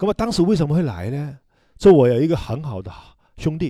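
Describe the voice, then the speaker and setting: A man with a Hong Kong accent talks at a very fast pace in a fairly high pitch, his somewhat breathy voice carrying a dark, mellow tone and lively intonation. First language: Cantonese (speaking Chinese). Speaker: hairdresser and salon owner. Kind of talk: casual chat.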